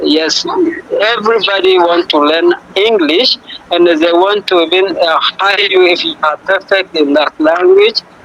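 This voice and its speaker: A man at a high pitch and fairly slow pace, with ordinary pitch variation and very even loudness over noticeable background noise. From Ethiopia. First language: Afan Oromo. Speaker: language exchange partner. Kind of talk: casual chat.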